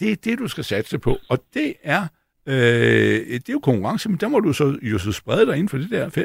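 A man's fairly slow speech with vocal fry and very wide pitch swings. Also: fairly high pitch for a man, dry, close sound with no echo. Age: 60s. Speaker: stock analyst. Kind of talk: panel discussion. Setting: studio.

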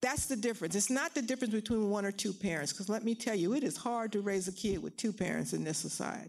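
In a very clean recording with a silent background, a woman with an American accent speaks in a plain, everyday voice, fairly high in pitch and with lively intonation. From US Northeast, Philadelphia. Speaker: education professor. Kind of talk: public interview on stage.

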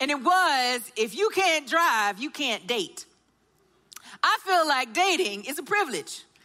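A woman with a Southern US accent uses a raised, projected voice with a bright, sharp tone. Her pitch is high, with very wide pitch swings. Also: fairly slow pace. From US South, Augusta, Georgia. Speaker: church care and baptism director. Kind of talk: sermon.

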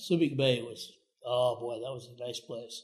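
Somewhat breathy and monotone, a man speaks at a moderate pace and medium pitch with flat intonation. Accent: Midwestern American. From US Midwest, northeast Iowa. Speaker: retired navy veteran. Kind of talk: interview.

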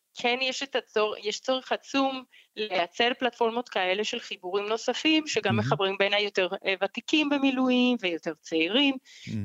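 Using a non-native accent, a woman with a fairly high pitch speaks at a moderate pace with lively intonation in a dry, close sound with no echo. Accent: foreign accent in Hebrew. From Colombia. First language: Spanish (speaking Hebrew). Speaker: foundation director. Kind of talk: interview. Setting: phone call. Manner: halting.

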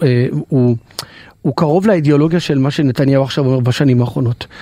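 A man is speaking. His pace is fairly quick. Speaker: radio guest host. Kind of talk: casual chat. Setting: studio.

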